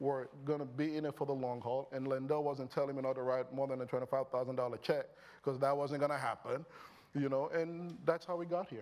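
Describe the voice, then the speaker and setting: This speaker has a Nigerian accent. The pace is fairly quick. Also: man. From Nigeria, Lagos. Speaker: company founder and CEO. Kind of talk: on-stage interview. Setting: stage with audience. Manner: animated.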